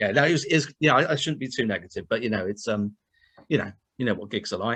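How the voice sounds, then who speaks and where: A man's medium-pitched voice, bright and sharp in tone, at a very fast pace. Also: lively intonation. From Bristol, West Country England. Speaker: musician, guitarist. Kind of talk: casual chat.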